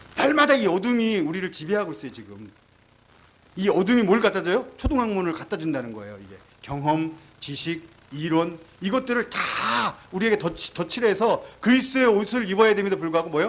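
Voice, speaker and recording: Noticeable background noise sits under a man's high-pitched, animated voice, which moves at a fairly quick pace with lively intonation and big swings in loudness. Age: 50s. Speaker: missionary. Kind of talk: testimony.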